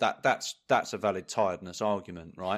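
With a plain, everyday voice, a man talks at a fairly quick pace and fairly low pitch on a very clean recording with a silent background. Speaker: podcast co-host, football fan. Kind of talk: casual chat.

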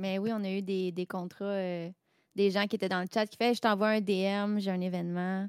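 In a Quebec accent, a woman speaks at a moderate pace with a medium pitch and monotone, flat intonation. The sound is dry and close with no echo, in a very clean recording with a silent background. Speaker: hobby singer and music streamer. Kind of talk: casual chat.

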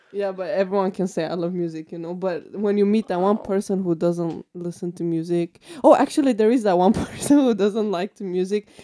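Over noticeable background noise, a woman with a medium-pitched voice talks at a fairly quick pace with hardly any pauses and ordinary pitch variation. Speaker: podcast host and student. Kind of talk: casual chat. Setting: studio.

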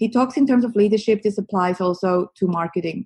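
A woman speaks in a Swiss accent at a moderate pace, with a somewhat breathy voice. Her pitch is medium with ordinary variation. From Switzerland. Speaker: marketing agency co-founder. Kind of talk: interview, explaining marketing advice.

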